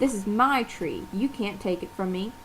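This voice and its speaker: A woman uses a put-on character voice at a medium pitch and a moderate pace. Background noise is clearly audible. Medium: read story.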